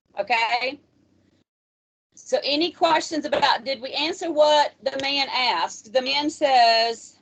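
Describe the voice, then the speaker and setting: A woman speaks loudly at a high pitch with lively intonation. Her pace is very slow. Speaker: math instructor. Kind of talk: lecture.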